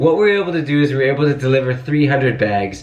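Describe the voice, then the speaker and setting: A man with a fairly high pitch talks in an animated tone with ordinary pitch variation, amid noticeable background noise and audible room echo. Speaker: vlogger and volunteer relief organizer. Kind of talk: casual vlog narration. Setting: indoors at night while packing relief bags. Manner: quiet, soft-spoken.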